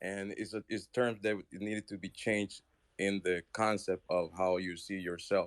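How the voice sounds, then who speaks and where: A man speaks at a fairly low pitch in a monotone, flat manner. The sound is dry and close, with no echo. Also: moderate pace. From outside the US. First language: not English. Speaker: caller in an online audio room. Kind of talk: heated debate. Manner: halting.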